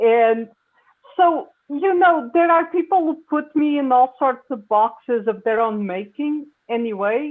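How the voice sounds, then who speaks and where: In a Portuguese accent, a woman speaks with a high pitch. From Portugal. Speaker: science fiction writer. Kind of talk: panel discussion. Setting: video call.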